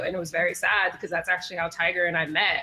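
Noticeable background noise sits behind a woman of medium pitch who speaks with an American accent. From Chicago. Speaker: music manager. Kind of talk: casual chat.

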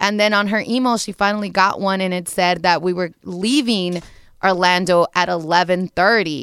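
On a very clean recording with a silent background, a woman speaks in a normal speaking voice at a medium pitch, with fairly even intonation. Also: moderate pace. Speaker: radio show producer. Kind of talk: casual chat.

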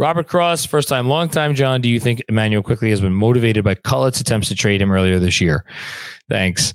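A man's medium-pitched voice at a fairly quick pace, lively intonation, very even loudness, dry close sound with no echo, very clean recording with a silent background. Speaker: sports podcast co-host. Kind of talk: casual live-stream chat. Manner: animated.

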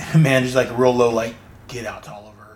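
A man's voice with audible room echo. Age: 40s. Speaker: comic book podcast host. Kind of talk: solo podcast recap of comics. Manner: halting with frequent fillers.

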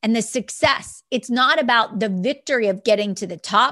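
A woman with a high pitch speaks at a moderate pace, her intonation lively. Her tone is energetic, and the background is quiet. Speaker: network marketing entrepreneur and podcast host. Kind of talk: motivational solo podcast talk.

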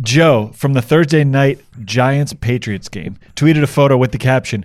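With an unremarkable speaking voice, a man talks at a moderate pace, fairly high in pitch, with ordinary pitch variation. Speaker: podcast producer. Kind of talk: casual chat.

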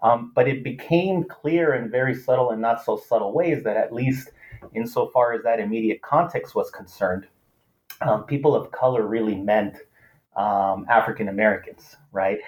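The speaker talks at a moderate pace in a Spanish accent. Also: man, medium pitch for a man, ordinary pitch variation. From US West Coast (Los Angeles). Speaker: political science professor. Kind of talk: interview.

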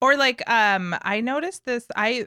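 A woman speaks with an American accent and a bright, sharp tone, using ordinary pitch variation. The sound is dry and close, with no echo. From New York City. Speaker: actress. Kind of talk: casual chat.

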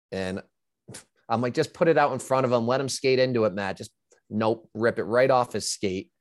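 Recorded with a dry, close sound with no echo, a man with an American accent and an ordinary speaking voice talks at a moderate pace, his medium pitch showing ordinary pitch variation. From upstate New York. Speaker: former hockey player and betting analyst. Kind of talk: casual interview.

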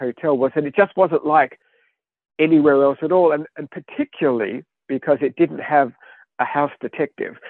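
Here a man speaks with an Australian accent at a moderate pace. His fairly high pitch has ordinary variation. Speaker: author. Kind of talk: interview. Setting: studio.

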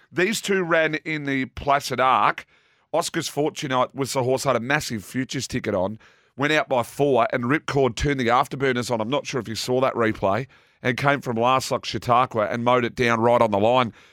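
A man with an Australian accent speaks at a fairly quick pace and a medium pitch with ordinary variation. The recording is very clean with a silent background and a dry, close sound with no echo. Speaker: racing analyst. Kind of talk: racing form analysis and tips.

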